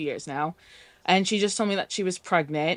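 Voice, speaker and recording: A woman talks at a moderate pace at medium pitch. She has a normal speaking voice. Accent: American. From US, New York. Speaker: caller. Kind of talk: call-in advice chat. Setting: call with camera off.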